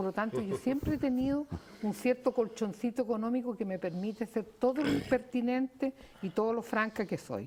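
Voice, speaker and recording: A woman speaks in a Chilean accent with a fairly high pitch, a dark, mellow tone and ordinary pitch variation. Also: moderate pace. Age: 70s. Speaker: psychiatrist. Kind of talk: TV panel debate. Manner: animated.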